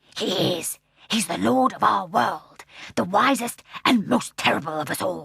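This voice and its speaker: High pitch and a moderate pace in a man's put-on character voice. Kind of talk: solemn, respectful. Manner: soft, reverent.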